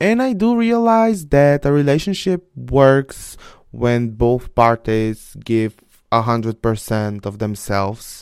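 Someone speaks at a very slow pace with a Bulgarian accent. The recording is very clean, with a silent background. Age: 20s. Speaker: podcast host. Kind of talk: casual monologue. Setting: home office. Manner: animated.

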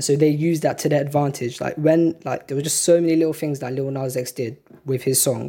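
Someone with a British accent speaks at a fairly quick pace. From UK. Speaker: music journalist and student. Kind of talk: casual chat.

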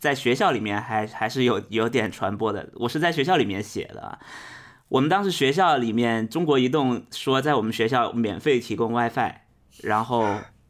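The recording is very clean with a silent background. A man speaks in an unremarkable speaking voice at medium pitch and a moderate pace. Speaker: podcast host guest. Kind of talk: casual chat.

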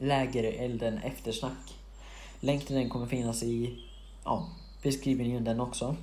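With audible room echo, a man speaks with long, frequent pauses. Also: moderate pace. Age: young. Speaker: podcast host. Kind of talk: casual Q&A monologue. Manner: halting, many fillers.

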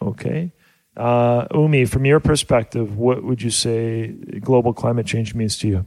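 A man with a normal speaking voice talks at a fairly slow pace, medium in pitch with ordinary pitch variation. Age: 40s. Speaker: family radio show host. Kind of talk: casual family radio show chat. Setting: studio.

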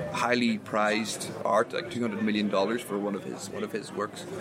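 Through noticeable background noise, a man with an Irish accent talks at a fairly quick pace in a fairly low pitch. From Ireland. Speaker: podcast host. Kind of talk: casual chat. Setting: outdoors at a pub.

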